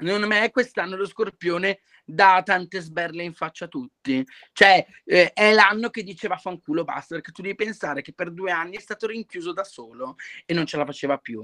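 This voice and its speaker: In a very clean recording with a silent background and a dry, close sound with no echo, a man with a high pitch and bright, sharp tone talks at a fairly quick pace, with ordinary pitch variation and big swings in loudness. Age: 20s. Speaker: drag performer. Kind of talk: casual chat.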